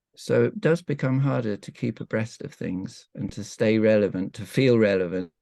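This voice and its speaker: Against a quiet background, a man with a British accent speaks at a moderate pace in a fairly low pitch and a dark, mellow tone, with lively intonation and hardly any pauses. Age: 70s. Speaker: evolutionary counsellor, breathwork facilitator. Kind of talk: interview answer. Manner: hesitant, reflective.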